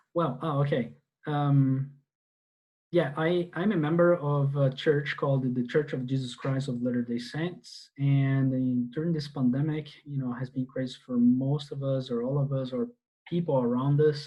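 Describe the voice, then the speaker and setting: With a Portuguese accent and a somewhat breathy voice, a man speaks at a moderate pace with ordinary pitch variation against a quiet background. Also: fairly high pitch for a man. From Brazil. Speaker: database instructor; IT course instructor. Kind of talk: online class lecture. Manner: halting, many fillers. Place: home room. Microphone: earbuds.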